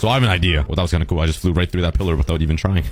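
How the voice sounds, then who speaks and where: The speaker uses an animated tone, with noticeable background noise behind the voice. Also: man. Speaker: gaming video creator. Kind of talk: gameplay commentary.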